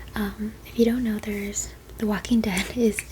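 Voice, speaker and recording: A soft-spoken woman at a moderate pace, with noticeable background noise. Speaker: ASMR creator. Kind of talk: casual ASMR rambling about a collection.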